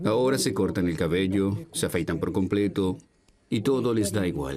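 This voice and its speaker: In a dark, mellow tone, a man speaks at a moderate pace and fairly low pitch, his loudness very even. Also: lively intonation. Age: old. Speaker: barber. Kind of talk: interview.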